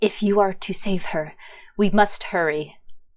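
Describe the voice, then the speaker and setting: A female-sounding voice growls in a put-on character voice at medium pitch. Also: moderate pace. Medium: actual play. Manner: urgent, grave.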